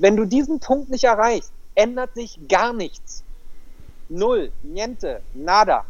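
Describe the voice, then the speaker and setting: Speaking very slowly with lively intonation, a man uses an extremely high pitch amid audible room echo. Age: 40s. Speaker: life coach. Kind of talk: interview.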